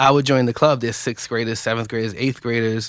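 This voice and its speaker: Someone with a New York accent speaks with fairly even intonation on a very clean recording with a silent background. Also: man. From New York, West Bronx. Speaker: chess nonprofit co-founder. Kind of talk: radio interview.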